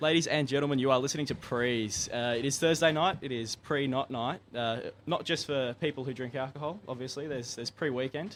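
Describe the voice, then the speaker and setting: Fairly quick delivery in an Australian accent, with ordinary pitch variation and hardly any pauses. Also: man, medium pitch for a man. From Tasmania, Australia (Launceston). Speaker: student radio host. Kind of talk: casual chat. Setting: studio. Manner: animated.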